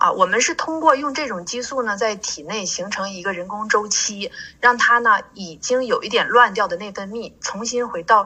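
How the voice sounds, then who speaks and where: With hardly any pauses, a woman talks at a moderate pace and a fairly high pitch, showing ordinary pitch variation and big swings in loudness over noticeable background noise. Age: 40s. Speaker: pharmacist. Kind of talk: interview.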